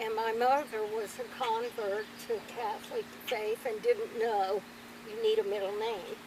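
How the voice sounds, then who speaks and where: Monotone, flat intonation from a woman, with noticeable background noise behind. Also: fairly high pitch for a woman. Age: 80s+. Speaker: grandmother interviewee. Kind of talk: family interview, storytelling.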